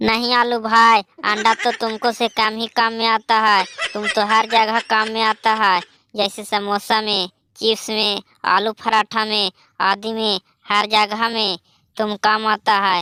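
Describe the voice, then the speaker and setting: In a cartoonish character voice, a woman speaks at a fairly high pitch with monotone, flat intonation. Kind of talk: rustic cartoon comedy. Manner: rustic colloquial Hindi.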